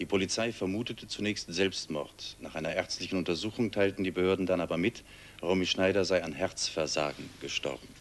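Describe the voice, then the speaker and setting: Fairly quick speech from a man with a very deep, low pitch. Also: ordinary pitch variation. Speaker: news anchor. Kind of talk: TV news read. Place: studio.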